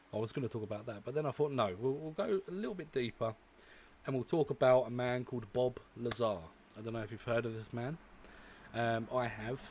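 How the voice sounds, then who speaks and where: In a British accent, a man talks fairly quickly at a medium pitch. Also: ordinary pitch variation. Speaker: reaction video creator. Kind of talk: casual vlog commentary. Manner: hesitant, many fillers.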